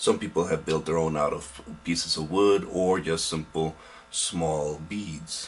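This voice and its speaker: A man speaks with music in the background. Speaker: hobby model maker. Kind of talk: casual hobby tutorial to camera. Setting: home, background aquarium pump buzzing. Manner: hesitant, halting.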